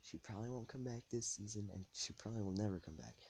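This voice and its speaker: A soft-spoken man at a moderate pace, fairly low in pitch, somewhat breathy, with a dark, mellow tone. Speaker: podcast host. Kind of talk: casual monologue podcast. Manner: rambling, hesitant. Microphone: too quiet, ambient noise.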